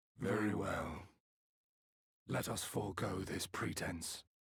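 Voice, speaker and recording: A man speaks in a put-on character voice that is fairly low and raspy. His pace is fairly slow. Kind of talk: formal. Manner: creepy.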